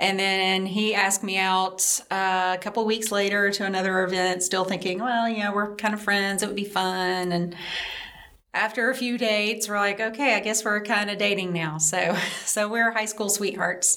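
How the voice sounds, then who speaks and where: A woman with a Southern US accent speaks in a monotone, flat intonation. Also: medium pitch for a woman, moderate pace. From upstate South Carolina, Greenville-Spartanburg. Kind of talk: personal testimony interview.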